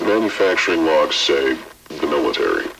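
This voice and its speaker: Using a put-on character voice, a man speaks at a moderate pace. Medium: audio drama. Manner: polite, flat.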